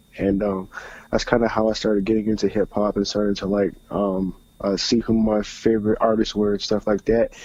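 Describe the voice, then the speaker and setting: A man's dark, mellow voice in an American accent, fairly quick and flat, monotone in intonation. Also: fairly low pitch for a man. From US South, Atlanta, Georgia. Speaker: rapper. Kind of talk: radio interview. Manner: halting, many fillers.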